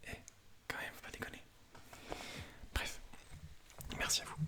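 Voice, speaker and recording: A man whispers over noticeable background noise. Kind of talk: whispered ASMR talk to camera. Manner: whispering, casual, self-deprecating.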